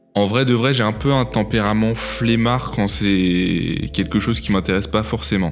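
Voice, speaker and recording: Over music in the background and with audible room echo, a man of fairly low pitch speaks at a fairly slow pace with hardly any pauses, very even loudness and ordinary pitch variation. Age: 20s. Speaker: podcast host, photographer and hotel worker. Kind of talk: casual podcast conversation.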